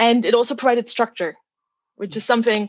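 A woman speaks with a German accent and fairly even intonation. The sound is dry and close with no echo, over a quiet background. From Germany. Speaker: physicist. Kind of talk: interview.

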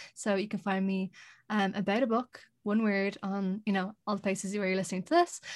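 A woman with an Irish accent, medium in pitch, at a fairly quick pace, in a dry, close sound with no echo. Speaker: podcaster. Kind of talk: casual chat.

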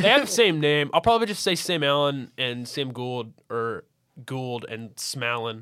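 At a moderate pace, a man speaks in a medium pitch with an American accent and ordinary pitch variation. His tone is clear and smooth, and also bright and sharp.

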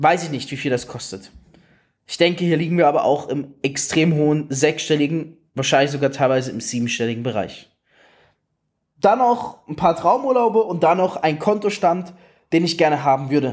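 A man with a fairly high voice talks at a moderate pace. His tone is animated and his intonation lively. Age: 20s. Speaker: network marketing coach. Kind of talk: motivational talk.

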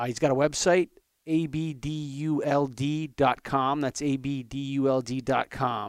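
A man talks in a normal speaking voice at a fairly high pitch. His intonation stays fairly even and his pace fairly slow. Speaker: podcast host. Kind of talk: casual interview chat.

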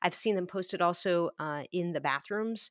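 In an unremarkable speaking voice, a woman with a fairly low pitch talks at a fairly quick pace with ordinary pitch variation, on a very clean recording with a silent background and a dry, close sound with no echo. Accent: American. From USA. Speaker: emergency physician. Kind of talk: interview.

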